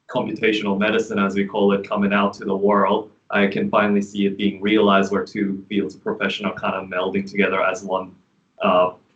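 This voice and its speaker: Speaking at a fairly quick pace, a man uses a fairly low pitch and monotone, flat intonation, with big swings in loudness. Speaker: pharmacist, prospective student. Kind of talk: self-introduction in meeting.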